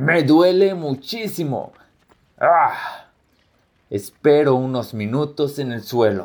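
A man with a fairly high voice speaks very slowly, his intonation lively. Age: 20s. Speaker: soldier. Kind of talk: scripted first-person narration.

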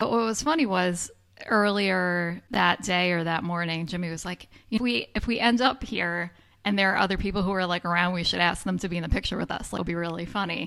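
Ordinary pitch variation at a fairly quick pace with an American accent, an unremarkable speaking voice. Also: woman, medium pitch for a woman. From upstate New York. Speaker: podcast co-host. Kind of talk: casual chat.

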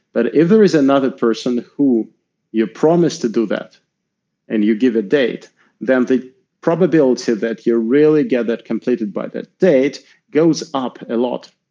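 A dark, mellow tone in a Russian accent, with lively intonation at a moderate pace. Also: man, medium pitch for a man. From Russia, Moscow. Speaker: tech executive and angel investor. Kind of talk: interview. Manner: halting, many fillers.

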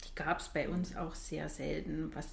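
A woman speaks at a moderate pace with a fairly low pitch and vocal fry. Audible room echo surrounds her voice. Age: 40s. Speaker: nurse and training supervisor. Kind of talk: interview.

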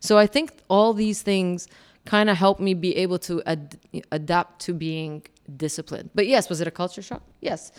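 At a moderate pace, a woman speaks at a medium pitch with ordinary pitch variation. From Kuwait. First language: Arabic. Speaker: communications executive, former military officer. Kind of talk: interview.

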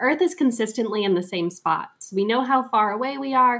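An ordinary speaking voice from a woman, fairly high-pitched, at a fairly quick pace with ordinary pitch variation. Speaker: aerospace engineer. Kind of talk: interview.

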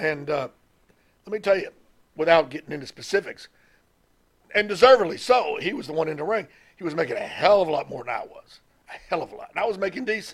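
With a Southern US accent, a man speaks at a high pitch and a very fast pace, his lively intonation broken by long, frequent pauses. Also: big swings in loudness. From US South, Mississippi. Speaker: retired pro wrestling manager. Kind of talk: interview.

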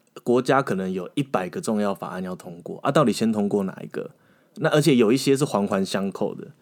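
Very wide pitch swings at a fairly quick pace. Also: man. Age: 30s. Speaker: former legislative aide. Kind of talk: casual interview chat.

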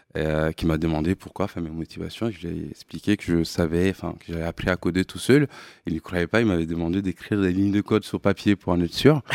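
A man speaks at a very fast pace in a very deep, low pitch, with ordinary pitch variation. The recording is very clean, with a silent background, and the sound is dry and close with no echo. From Mali. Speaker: tech company CEO. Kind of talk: interview. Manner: halting.

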